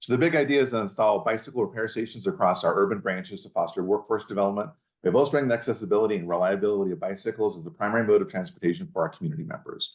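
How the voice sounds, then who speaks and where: Swinging very widely in pitch around a medium level, a man talks at a very fast pace with hardly any pauses. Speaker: library director. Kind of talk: pitch presentation.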